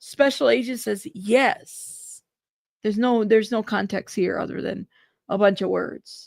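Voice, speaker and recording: A woman with a fairly high pitch and vocal fry speaks at a fairly slow pace in an animated tone with ordinary pitch variation, in a very clean recording with a silent background. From Mexican-American, Spanish-speaking home in US. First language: Spanish. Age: 40s. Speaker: YouTube news livestreamer. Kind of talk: live commentary with casual chat.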